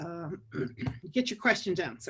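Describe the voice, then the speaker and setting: A woman is speaking. Her intonation is lively. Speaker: lawyer. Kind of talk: webinar lecture. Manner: fast.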